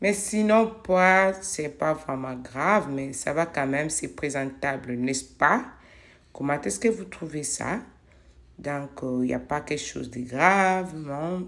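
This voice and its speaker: Speaking very slowly, a woman uses a very deep, low pitch with lively intonation. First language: not French (speaking French). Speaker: home cleaning vlogger. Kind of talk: casual vlog narration while cleaning. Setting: home kitchen. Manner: hesitant, with fillers.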